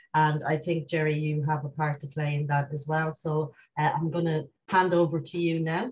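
A woman's somewhat breathy, very deep, low voice in an Irish accent, at a moderate pace with fairly even intonation, over light background noise. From Ireland. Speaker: event host and moderator. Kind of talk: hosting an online talk. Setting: video call. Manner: hesitant, many fillers. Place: home room. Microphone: video call.

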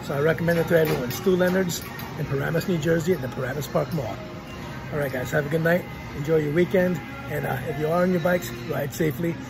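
A man talks at a very fast pace with fairly even intonation. Clear music plays in the background. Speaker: vlogger shopper. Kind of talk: casual vlog chat. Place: shop. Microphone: phone near.

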